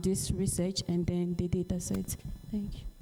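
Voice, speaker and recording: This is a woman with a medium-pitched voice. Noticeable background noise runs beneath her speech. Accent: Ghanaian. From Ghana. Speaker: AI researcher. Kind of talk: panel presentation and discussion. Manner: hesitant, many fillers.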